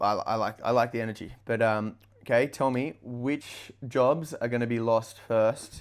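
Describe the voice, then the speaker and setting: This man speaks at a medium pitch. His intonation stays fairly even. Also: very clean recording, silent background. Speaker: podcast host. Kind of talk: casual chat. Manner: fast.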